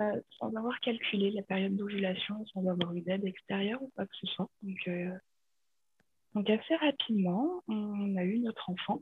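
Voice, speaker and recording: A woman's medium-pitched voice at a moderate pace, with ordinary pitch variation and long, frequent pauses. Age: 30s. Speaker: interviewee sharing personal medical story. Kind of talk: personal testimony in interview. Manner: halting with many hesitations.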